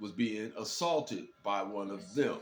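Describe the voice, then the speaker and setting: Someone with an American accent talks at a fairly slow pace with ordinary pitch variation. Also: man. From Detroit, US Midwest. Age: 60s. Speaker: commentary vlogger. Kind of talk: casual monologue commentary. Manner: hesitant, many fillers and repeats.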